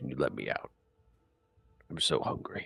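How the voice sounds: Using a put-on character voice, a man speaks in a raspy tone at a moderate pace.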